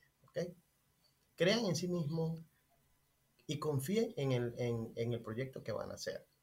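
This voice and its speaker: Speaking at a fairly slow pace with long, frequent pauses, a man holds a fairly high pitch. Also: lively intonation. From Venezuela, Maracay. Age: 30s. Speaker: restaurant owner. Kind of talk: interview.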